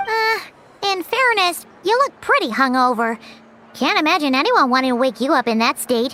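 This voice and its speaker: This is a put-on character voice that sounds female, pitched high for a woman. It moves at a moderate pace with very wide pitch swings. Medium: video game. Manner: speaks of self in third person.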